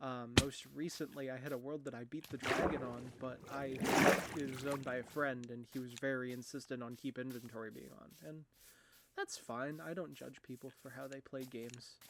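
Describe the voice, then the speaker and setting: With noticeable background noise, a man speaks at a moderate pace and medium pitch in fairly even intonation. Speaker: gaming YouTuber. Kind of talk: let's play commentary. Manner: halting, many fillers.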